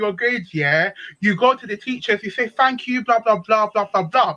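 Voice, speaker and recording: A woman speaks at a moderate pace in an animated, bright and sharp tone. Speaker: open panel participant. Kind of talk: storytelling on live panel stream.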